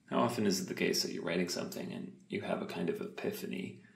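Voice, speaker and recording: Against noticeable background noise, a man speaks in a calm tone at a moderate pace. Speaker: poet. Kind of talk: ASMR talking, poetry writing. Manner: calm, reflective.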